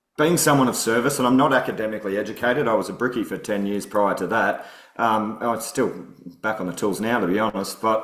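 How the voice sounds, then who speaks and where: In an Australian accent, a man talks at a fairly quick pace and medium pitch with ordinary pitch variation, with audible room echo. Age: 40s. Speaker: political candidate, former soldier and bricklayer. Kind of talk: podcast interview. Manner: casual, many fillers.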